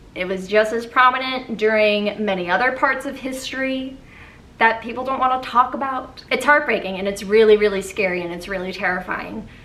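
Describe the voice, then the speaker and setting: Over noticeable background noise and audible room echo, a woman talks at a fairly quick pace in a fairly high voice with ordinary pitch variation. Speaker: YouTuber, musical theatre video essayist. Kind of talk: casual video review monologue. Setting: home recording with fans and AC off.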